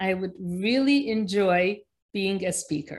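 Somewhat breathy, a woman speaks at a medium pitch with ordinary pitch variation against a quiet background. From Egypt, raised mainly in New Jersey. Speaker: pediatrician. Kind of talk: interview.

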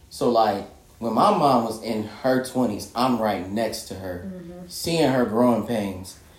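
A man with an American accent speaks at a fairly slow pace in a medium pitch, his intonation lively and his loudness swinging widely. Audible room echo and noticeable background noise fill the recording. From Indiana, Michigan City. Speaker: podcast guest co-host. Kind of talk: casual chat.

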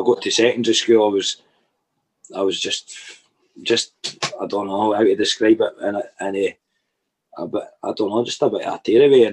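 A man talks with a Dundee accent. His speech has long, frequent pauses. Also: moderate pace. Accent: Scottish (Dundee area). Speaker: musician. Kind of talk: casual chat. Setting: video call.

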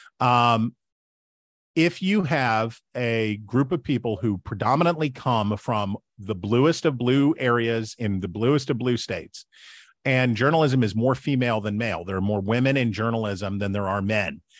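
With an American accent, a man speaks in an unremarkable speaking voice, with ordinary pitch variation and a quiet background. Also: medium pitch for a man, moderate pace. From West Virginia. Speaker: political commentator and author. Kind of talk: interview.

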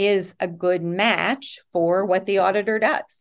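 Against a quiet background, a woman talks at a very slow pace and a medium pitch. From eastern Kentucky, Rowan County. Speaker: political candidate, tax attorney. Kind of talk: interview. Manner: halting, many restarts and fillers.

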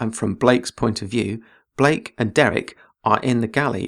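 This is an unforced reading voice with ordinary pitch variation. The background is quiet.

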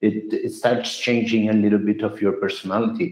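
The tone is slightly mellow, with little pitch movement, at a moderate pace. Audible room echo is present. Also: man, fairly low pitch for a man.

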